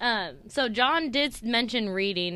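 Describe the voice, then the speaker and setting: A woman with a Californian accent, a fairly high pitch, a bright, sharp tone and lively intonation, in a very clean recording with a silent background. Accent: General American (California). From Sacramento, California. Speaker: podcast co-host, restaurant team leader. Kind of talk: casual chat.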